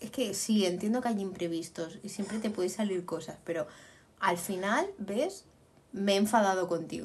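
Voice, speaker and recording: An animated, somewhat breathy woman's voice at a medium pitch, with ordinary pitch variation. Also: moderate pace. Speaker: podcast co-host. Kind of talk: casual chat.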